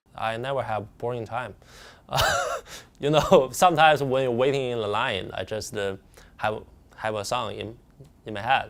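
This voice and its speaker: A man with a Chinese accent speaks at a moderate pace in a medium pitch, with ordinary pitch variation and long, frequent pauses. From northern China, Tianjin. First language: Mandarin Chinese. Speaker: amateur Chinese opera performer. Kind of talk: interview testimony. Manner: halting.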